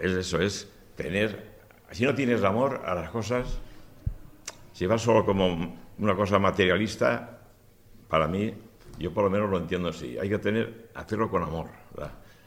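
In a room with audible echo, a man with a fairly low pitch speaks at a moderate pace with ordinary pitch variation and long, frequent pauses. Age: 70s. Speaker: retired cabinetmaker. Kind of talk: press conference. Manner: halting.

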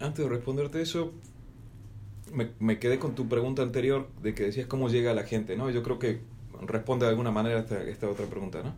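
Very fast speech from a man at medium pitch, with fairly even intonation. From Argentina, Salta. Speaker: radio host. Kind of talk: casual chat.

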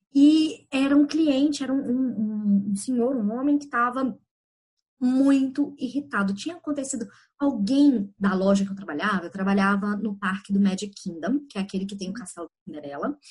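A woman's fairly high, somewhat breathy voice with big swings in loudness. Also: lively intonation, moderate pace. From Belo Horizonte, Brazil. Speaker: life coach. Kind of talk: podcast interview.

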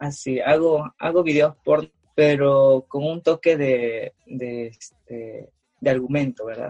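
A man at a very slow pace, fairly high in pitch, with fairly even intonation and big swings in loudness, in a dry, close sound with no echo. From Peru. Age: 20s. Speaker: amateur adult film performer. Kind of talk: casual interview. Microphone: laggy internet connection.

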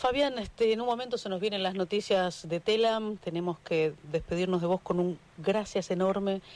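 With hardly any pauses, the talking keeps a moderate speed. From Argentina. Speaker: radio host. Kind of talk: radio interview. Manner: animated.

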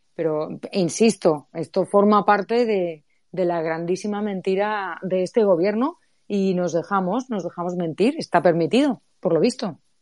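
A woman's unremarkable speaking voice at medium pitch, fairly slow and with ordinary pitch variation, dry and close with no echo over a quiet background. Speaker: economics professor and author. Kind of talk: casual chat.

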